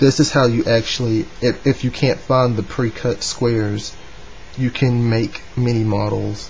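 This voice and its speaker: A man speaks with a Southern US accent at a medium pitch. Noticeable background noise sits behind him. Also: fairly even intonation, fairly slow pace. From North Carolina, US. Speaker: origami hobbyist. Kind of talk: tutorial talk to camera. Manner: hesitant, casual.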